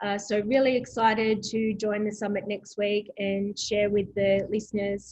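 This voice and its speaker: With an Australian accent, the speaker keeps a moderate pace with hardly any pauses and monotone, flat intonation. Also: woman, medium pitch for a woman. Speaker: proptech company president. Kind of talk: interview.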